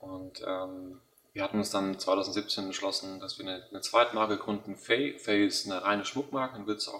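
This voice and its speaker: A man's fairly low-pitched voice at a moderate pace, with monotone, flat intonation. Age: 20s. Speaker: company founder. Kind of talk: interview. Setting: office.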